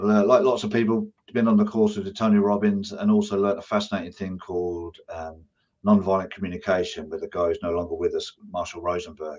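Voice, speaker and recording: A man in an English accent, at a fairly quick pace. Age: 60s. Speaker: business owner and martial arts instructor. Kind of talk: interview.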